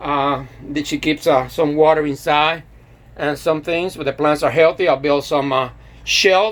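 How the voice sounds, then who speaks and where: His pitch variation is ordinary. The man keeps to a moderate pace. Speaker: DIY hobbyist. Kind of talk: casual tutorial walkthrough. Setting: inside a greenhouse. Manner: halting, many fillers and restarts.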